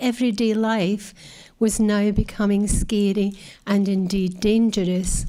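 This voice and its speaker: A woman talks at a very slow pace in a dark, mellow tone. The recording is very clean, with a silent background. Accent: Scottish. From Scotland. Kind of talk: talk to an audience.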